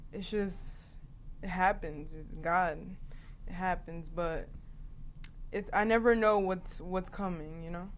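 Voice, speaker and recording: A woman with an American accent talks at a very slow pace and medium pitch, with long, frequent pauses, fairly even intonation and big swings in loudness. Audible room echo surrounds her voice. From northern New Jersey. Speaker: singer. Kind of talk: interview.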